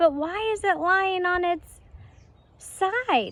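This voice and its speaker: Putting on a character voice, a woman squeaks out her words at an extremely high pitch and a very slow pace. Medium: read story. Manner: patient, weary.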